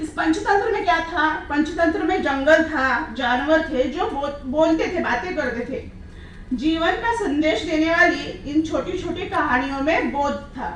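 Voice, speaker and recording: A woman with an extremely high pitch and a slight Marathi accent talks with hardly any pauses and ordinary pitch variation, amid noticeable background noise and audible room echo. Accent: slight Marathi accent in Hindi. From Maharashtra, Marathwada region. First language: Marathi (speaking Hindi). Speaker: children's literature writer. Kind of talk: conference speech. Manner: formal.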